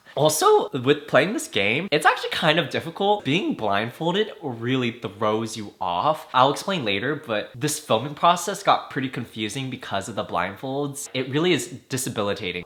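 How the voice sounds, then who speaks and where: A man's animated voice with lively intonation at a moderate pace, hardly any pauses, and noticeable background noise. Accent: General American. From US, Vietnamese American family. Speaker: YouTuber and musician. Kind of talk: reaction commentary. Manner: casual, animated.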